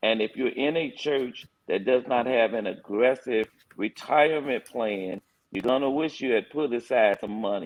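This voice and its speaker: An unremarkable speaking voice from a man, medium in pitch, with ordinary pitch variation and a moderate pace. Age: 60s. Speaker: pastor. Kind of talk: panel discussion.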